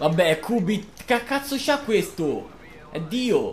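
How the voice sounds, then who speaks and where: Very slowly, a man speaks in a high pitch that makes very wide swings. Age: 20s. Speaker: gaming youtuber. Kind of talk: live gameplay commentary. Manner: casual, swearing outbursts.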